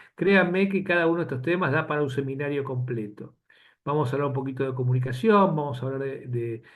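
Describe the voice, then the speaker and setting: A man with a fairly high pitch talks at a fairly quick pace, his voice somewhat breathy. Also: quiet background. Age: 60s. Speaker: physician lecturer. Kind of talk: lecture. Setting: webinar video call. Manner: halting.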